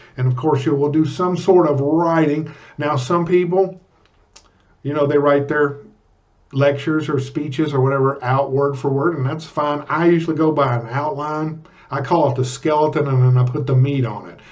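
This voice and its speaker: With audible room echo around him, a man talks at a moderate pace in a fairly high pitch. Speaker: public speaking coach. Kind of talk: vlog tutorial. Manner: animated; loud.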